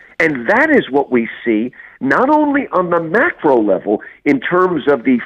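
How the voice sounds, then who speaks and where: A man with an American accent speaks at a high pitch with very wide pitch swings. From New Jersey / New York area, US. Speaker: English professor and author. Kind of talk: interview about religion and apologetics.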